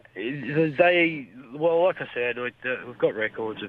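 A man talks with an Australian accent. His pitch varies in an ordinary way. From country New South Wales, Australia. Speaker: fisheries officer. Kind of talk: radio interview.

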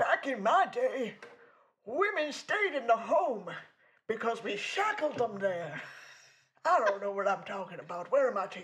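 A put-on character voice speaks at a fairly high pitch and a moderate pace. Long, frequent pauses run through the delivery. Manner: gruff, confused, comedic.

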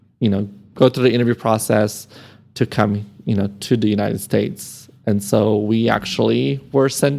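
A man's dark, mellow voice at a moderate pace, with ordinary pitch variation, on a very clean recording with a silent background. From Serbia (born in Croatia), raised in Amarillo, Texas from age 10. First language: Serbian. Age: 30s. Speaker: nonprofit marketing professional. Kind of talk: interview conversation.

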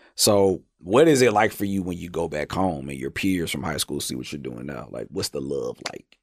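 At a moderate pace and with hardly any pauses, a man with a very deep, low pitch shows vocal fry, lively intonation, and big swings in loudness. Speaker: podcast host. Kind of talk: casual interview chat. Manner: animated, jokey.

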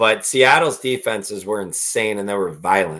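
With a bright, sharp tone, a man talks at a fairly slow pace in a fairly low pitch with ordinary pitch variation. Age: 30s. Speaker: podcast co-host. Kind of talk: casual chat.

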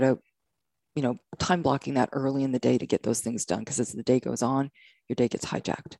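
With a Canadian accent, a woman speaks at a fairly quick pace in a very deep, low voice with vocal fry, a dark, mellow tone and fairly even intonation. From Canada. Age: 50s. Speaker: entrepreneur and photographer. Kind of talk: casual chat.

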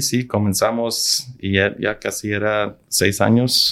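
A man at a very slow pace and a fairly low pitch. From Arizona, US (Nogales and Tucson, border region). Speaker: film and TV content executive. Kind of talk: interview. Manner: halting, many repetitions. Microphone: far from the mic at first.

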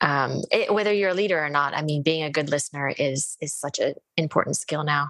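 A woman's very deep, low voice, dry and close with no echo. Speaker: podcast host. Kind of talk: interview, conversational. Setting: video call.

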